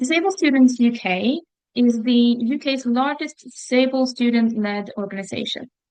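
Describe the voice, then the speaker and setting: A woman at a moderate pace, her high voice showing ordinary pitch variation. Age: 30s. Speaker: founding director of a student organisation. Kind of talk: formal presentation.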